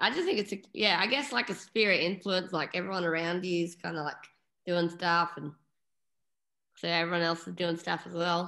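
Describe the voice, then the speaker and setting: With an Australian accent, a woman speaks at a fairly quick pace in a fairly low pitch, a bright, sharp tone, and ordinary pitch variation against a quiet background. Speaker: punk band singer; interviewee. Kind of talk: casual interview. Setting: video call. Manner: animated. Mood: relaxed, laughing. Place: home room. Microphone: video call.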